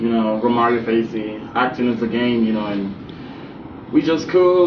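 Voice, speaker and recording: With audible room echo and noticeable background noise, a man speaks in a Jamaican accent. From Jamaica, Kingston. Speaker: actor and model. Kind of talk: interview. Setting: studio. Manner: casual, filler-heavy.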